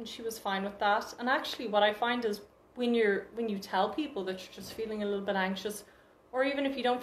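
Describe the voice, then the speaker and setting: A woman with a medium pitch speaks at a fairly quick pace. Noticeable background noise and audible room echo fill the recording. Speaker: confidence workshop presenter. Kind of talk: educational talk. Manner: fast.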